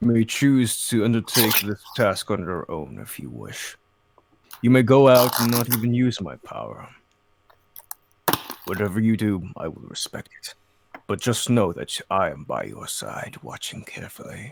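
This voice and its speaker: The voice is a put-on character voice at a moderate pace. Long, frequent pauses break it up. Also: man, medium pitch for a man. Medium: actual play. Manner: grandiose, solemn.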